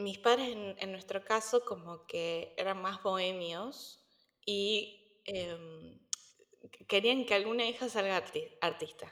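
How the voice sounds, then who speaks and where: This woman talks very slowly, her medium pitch moving with ordinary variation. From Argentina, Córdoba. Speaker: entrepreneur, nutrition coach. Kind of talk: interview conversation. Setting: remote call. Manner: halting, many repetitions.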